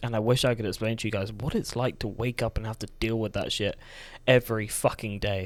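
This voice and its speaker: Talking at a fairly quick pace, a man keeps a medium pitch and a monotone, flat intonation. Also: very clean recording, silent background. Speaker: vlogger. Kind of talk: personal testimony monologue. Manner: soft-spoken; halting.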